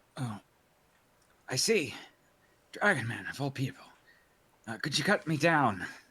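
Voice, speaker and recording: A raspy, put-on character voice swings very widely in pitch, keeping a moderate pace with long, frequent pauses. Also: man, medium pitch for a man. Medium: actual play.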